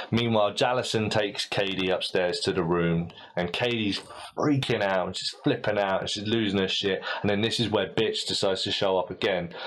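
A man talks at a fairly quick pace with a British accent. His pitch is fairly low and his intonation fairly even. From Britain. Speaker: podcast host. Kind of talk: casual chat. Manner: halting.

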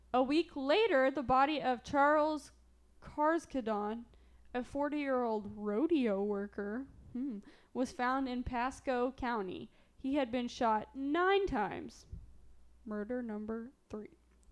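Against a quiet background, a woman with a high pitch speaks at a very slow pace with long, frequent pauses and ordinary pitch variation. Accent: southern Illinois. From Southern Illinois. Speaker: podcast co-host telling a true crime story. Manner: casual storyteller, frequent "like" fillers.

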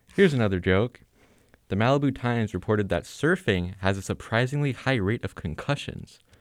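A man with an American accent talks in an unremarkable speaking voice at a fairly low pitch. His pace is fairly quick, his intonation lively, and the recording very clean with a silent background. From Los Angeles, US. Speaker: podcast host. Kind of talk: scripted comedy news jokes. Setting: studio.

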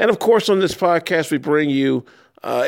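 In a very clean recording with a silent background, a man's intonation is lively. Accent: Chicago. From Chicago. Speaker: radio host. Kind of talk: interview.

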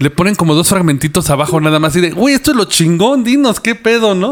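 Speaking in a Mexican accent at a very fast pace, a man swings his pitch very widely. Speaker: podcast host. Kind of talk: casual chat. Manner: animated.

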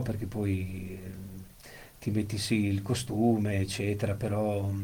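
A man's fairly low, dark, mellow and somewhat breathy voice, with audible room echo. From central Italy (Monte Castello area). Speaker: amputee with prosthesis, former disc jockey. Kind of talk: casual chat.

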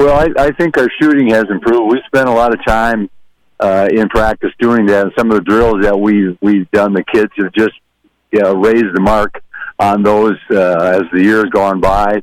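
This man has an unremarkable speaking voice, fairly low in pitch with ordinary pitch variation and very even loudness, delivered at a moderate pace in a dry, close recording with no echo. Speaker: basketball head coach. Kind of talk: pregame interview. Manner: relaxed, folksy, joking.

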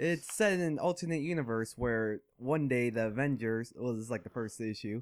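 A man with an American accent speaks in an unremarkable speaking voice at a moderate pace, with ordinary pitch variation. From Vietnamese family, living in Minnesota. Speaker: podcast co-host. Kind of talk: casual chat.

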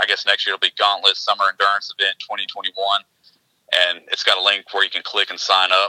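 A man at a very fast pace, with a dry, close sound and no echo. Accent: East Tennessee. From East Tennessee. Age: 40s. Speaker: realtor and endurance racer. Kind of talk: casual chat.

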